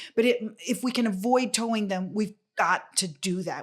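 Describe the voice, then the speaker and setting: A woman's fairly high voice with a Spanish accent, at a moderate pace with ordinary pitch variation. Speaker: property owner and operator. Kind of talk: podcast interview. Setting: on location.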